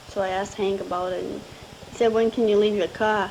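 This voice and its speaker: A woman talks at a fairly quick pace in a medium pitch. Her intonation is monotone and flat, and there is noticeable background noise. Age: 20s. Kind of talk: recorded personal voice message to husband. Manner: sweet, affectionate; casual, chatty.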